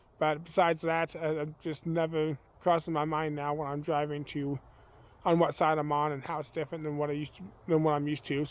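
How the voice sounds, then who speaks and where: Fairly high-pitched male voice in an American accent, monotone and flat, at a fairly quick pace. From US Midwest, Kansas (Wichita area, rural). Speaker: vlogger. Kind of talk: casual vlog talk. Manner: relaxed, many fillers (uh, um).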